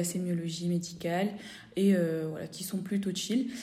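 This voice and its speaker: Amid audible room echo, a woman speaks at a moderate pace and medium pitch with monotone, flat intonation. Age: 20s. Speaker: fifth-year medical student. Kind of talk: casual interview.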